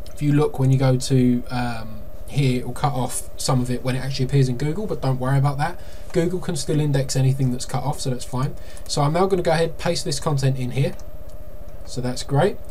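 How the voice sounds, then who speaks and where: A man's fairly high voice at a fairly quick pace, fairly even in intonation, over light background noise. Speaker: marketing consultant. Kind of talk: tutorial. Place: home room.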